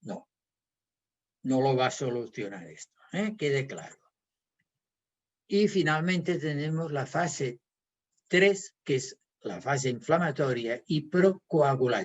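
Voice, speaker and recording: Somewhat breathy, a man speaks at a fairly high pitch and a very slow pace, with lively intonation and long, frequent pauses. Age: 70s. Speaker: physiotherapist and naturopath. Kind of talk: health talk.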